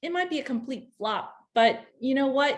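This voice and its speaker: Lively intonation in a high-pitched female voice. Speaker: webinar presenter, lymphedema nonprofit director. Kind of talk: educational webinar talk. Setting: online webinar. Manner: halting, stumbling over words; casual, filler-heavy.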